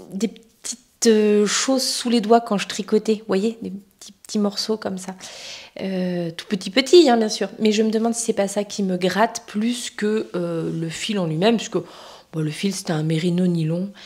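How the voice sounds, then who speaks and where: A woman's pitch moves in an ordinary way while noticeable background noise plays behind her. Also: medium pitch for a woman, fairly slow pace. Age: 40s. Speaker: knitting vlogger. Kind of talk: casual chat. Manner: hesitant, many fillers.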